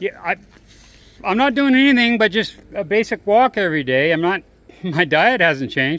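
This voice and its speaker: Bright and sharp in tone, a man's high voice moves at a moderate pace with very wide pitch swings. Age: 60s. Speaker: vlogger. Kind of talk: casual vlog monologue and chat. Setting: outdoors, walking on a village road. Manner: conversational with fillers and restarts.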